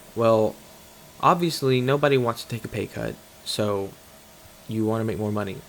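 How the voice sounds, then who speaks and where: A man speaks at a moderate pace with ordinary pitch variation. His speech has long, frequent pauses. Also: medium pitch for a man. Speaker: detailing business owner and video creator. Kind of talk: voiceover monologue over footage. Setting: voiceover recorded over footage. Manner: rambling, casual, with fillers and repeats.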